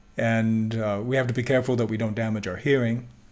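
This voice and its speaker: A man at medium pitch talks at a very fast pace with fairly even intonation. Audible room echo surrounds his voice. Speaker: Bible teacher. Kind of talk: lecture.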